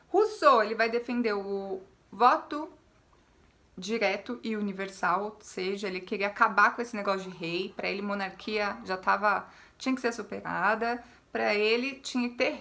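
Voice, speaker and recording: A woman's bright, sharp, medium-pitched voice at a moderate pace with ordinary pitch variation. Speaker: history teacher. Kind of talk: lecture.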